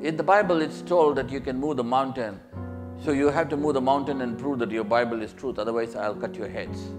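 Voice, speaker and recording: Music plays in the background as a man talks. His medium pitch moves with lively intonation at a fairly quick pace. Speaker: preacher giving a sermon. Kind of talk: sermon with line-by-line interpreter. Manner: sermon delivery, paced in short phrases for interpretation.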